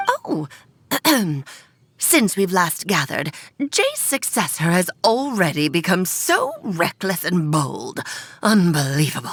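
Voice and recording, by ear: Putting on a character voice, a woman speaks at a medium pitch and a fairly slow pace, with long, frequent pauses.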